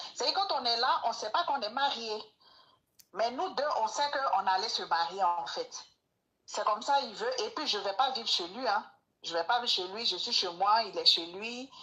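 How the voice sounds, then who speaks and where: Her voice is fairly high, with a bright, sharp tone and lively intonation, and she speaks with an Ivorian accent. This woman keeps a moderate pace, broken by long, frequent pauses. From Ivory Coast. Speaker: caller seeking advice. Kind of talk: personal testimony.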